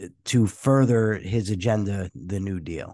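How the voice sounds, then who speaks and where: A man at a very slow pace over a quiet background. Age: 40s. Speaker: podcast host. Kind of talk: interview.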